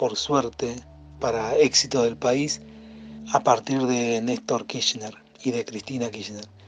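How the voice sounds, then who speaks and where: A man speaks at a very slow pace with medium pitch and ordinary pitch variation, with noticeable background noise behind him. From Mar del Plata, Argentina. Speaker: musician. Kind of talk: recorded testimony.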